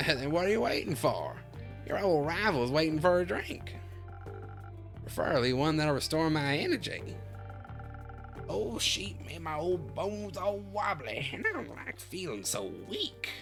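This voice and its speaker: In a put-on character voice, a woman speaks at a very deep, low pitch and a moderate pace. She leaves long, frequent pauses, and music is clearly heard in the background. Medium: virtual streamer. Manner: crotchety, sharp, teasing.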